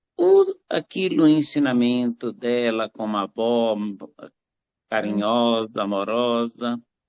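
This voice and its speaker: This man's intonation is fairly even. He speaks very slowly. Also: medium pitch for a man. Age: 60s. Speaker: clinical psychologist, live participant. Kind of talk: online live group introduction. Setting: video call.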